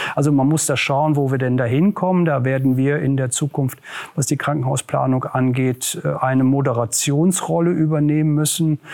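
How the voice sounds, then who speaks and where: This man has an ordinary speaking voice, fairly high in pitch, with very even loudness, fairly even intonation and a moderate pace. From Ruhr area, Westphalia (Germany). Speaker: regional government official, former mayor. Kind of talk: interview.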